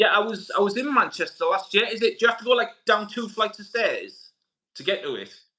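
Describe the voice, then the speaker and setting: A man with a northern English accent speaks in a raised, projected voice at an extremely high pitch, fairly quickly. His tone is bright and sharp, with ordinary pitch variation and big swings in loudness. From northern England, Middlesbrough. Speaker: YouTube channel host, movie collector. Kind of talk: casual chat. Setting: live stream interview.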